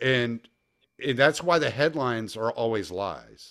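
In a very clean recording with a silent background, a man with a plain, everyday voice speaks at a moderate pace. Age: 40s. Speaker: political activist. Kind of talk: casual chat.

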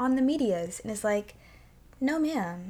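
The tone is animated. The pace is fairly quick. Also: woman. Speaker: podcast host. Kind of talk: casual chat.

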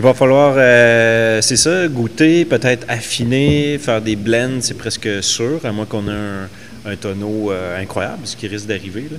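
At a very slow pace, a man speaks with hardly any pauses, at a medium pitch and with ordinary pitch variation. Background noise is noticeable. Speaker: brewer and distiller. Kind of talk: casual chat.

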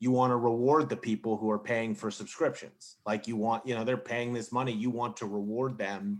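A man with an American accent and a medium pitch, at a moderate pace, in a normal speaking voice, over a quiet background. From US Mid-Atlantic, Maryland suburbs of DC. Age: 30s. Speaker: sports journalist. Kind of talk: casual chat.

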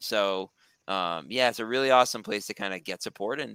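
A man's fairly low voice at a moderate pace, with ordinary pitch variation and a dry, close sound with no echo. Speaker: recovery coach. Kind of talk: casual chat. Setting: video call. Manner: halting.

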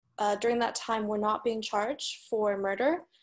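In an ordinary speaking voice with an American accent, the speaker keeps a moderate pace against a quiet background. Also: woman. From United States. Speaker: podcast guest, Chinese American. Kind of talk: casual discussion of current events.

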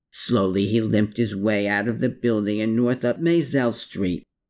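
On a very clean recording with a silent background, a man speaks at a moderate pace in a dramatic tone. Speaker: audiobook narrator. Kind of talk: scripted narration of a book chapter, with first-person memoir passages; dramatic narration. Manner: hushed, suspenseful storytelling pace with dramatic pauses; reflective, solemn.

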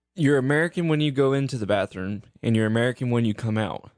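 This man has an unremarkable speaking voice, medium in pitch with ordinary variation, at a fairly quick pace. The sound is dry and close, with no echo. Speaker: guest, recurring. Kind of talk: casual chat, dad-joke contest.

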